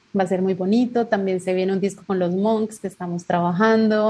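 A dark, mellow tone from a woman at a medium pitch. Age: 40s. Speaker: singer. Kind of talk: interview.

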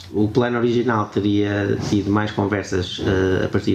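A man's voice, fairly low in pitch. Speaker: podcast host. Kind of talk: casual chat. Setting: guest's home.

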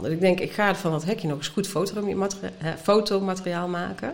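This woman has a medium pitch and lively intonation. Noticeable background noise runs underneath. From Brabant, Netherlands. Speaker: artist and art teacher. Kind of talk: casual interview. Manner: halting, many fillers.

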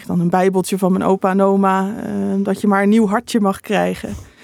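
A woman's medium-pitched voice at a moderate pace. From Netherlands, Utrecht province (Bible Belt village). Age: 20s. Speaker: theology student and author. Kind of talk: interview.

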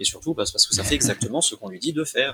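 The delivery comes at a very fast pace with lively intonation. The sound is dry and close, with no echo. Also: man. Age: 20s. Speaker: computer science student and former substitute math teacher. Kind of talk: casual interview. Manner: halting.

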